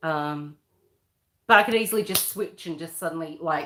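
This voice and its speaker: The speaker is a woman with an Australian accent. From Western Australia. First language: Croatian. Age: 40s. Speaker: livestreamer. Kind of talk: casual livestream chat. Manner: loud at times.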